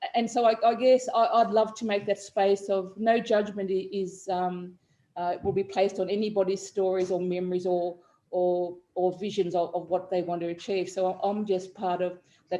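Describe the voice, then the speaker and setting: A woman's dark, mellow tone at a moderate pace, with monotone, flat intonation. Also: medium pitch for a woman. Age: 60s. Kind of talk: interview. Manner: halting, many fillers.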